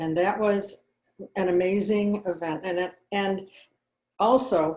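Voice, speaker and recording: A woman speaks at a very slow pace with a fairly low pitch. Her pitch variation is ordinary. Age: 70s. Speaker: wellness supplement business owner. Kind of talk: networking meeting self-introduction.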